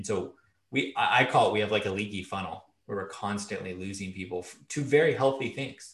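This man has an ordinary speaking voice. He talks at a fairly quick pace with ordinary pitch variation. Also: fairly low pitch for a man. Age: 30s. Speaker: online pastor. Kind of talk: casual interview.

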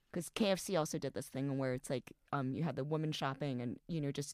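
A woman with an American accent speaks at a fairly quick pace with very deep, low pitch and ordinary pitch variation. The recording is very clean, dry and close, with no echo and a silent background. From United States, Chinese-Taiwanese family. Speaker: podcast co-host. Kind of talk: casual chat.

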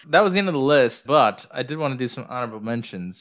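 Very fast talk with very wide pitch swings and an American accent. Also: man. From United States. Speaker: podcast co-host. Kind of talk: casual chat. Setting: recording in their new house.

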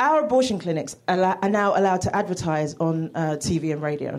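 In a British accent, the words come at a moderate pace. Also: woman. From United Kingdom. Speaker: comedian. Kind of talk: stand-up. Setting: stage with audience.

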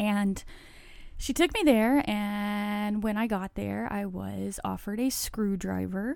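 A woman's ordinary speaking voice, fairly high in pitch, at a fairly slow pace. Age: 40s. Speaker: podcast host sharing addiction recovery story. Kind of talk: personal monologue, testimony.

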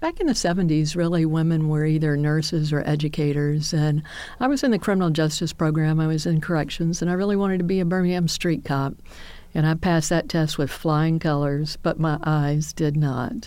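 A woman with an American accent speaks at a fairly quick pace in a very deep, low pitch, her tone dark and mellow. Her loudness stays very even and her intonation fairly even. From US South, Homewood, Alabama. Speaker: retired army general. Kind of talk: interview reminiscence.

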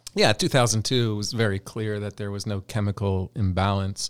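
In an ordinary speaking voice, a man with an American accent speaks at a fairly low pitch on a very clean recording with a silent background. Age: 40s. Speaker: clinical psychologist. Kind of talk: interview.

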